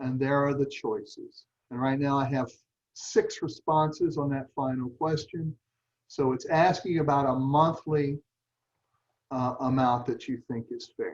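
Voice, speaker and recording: A man's fairly high, somewhat breathy voice, fairly slow in pace with fairly even intonation. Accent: Southern US. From US South. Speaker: nonprofit meeting leader. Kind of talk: online meeting presentation. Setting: video call.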